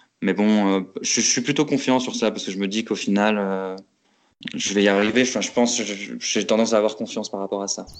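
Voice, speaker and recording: A man speaks with fairly even intonation at a fairly low pitch against a quiet background. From France, Lorraine (Metz). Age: 20s. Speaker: aspiring urban farmer, former public works site manager. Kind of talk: interview testimony. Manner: hesitant, many fillers.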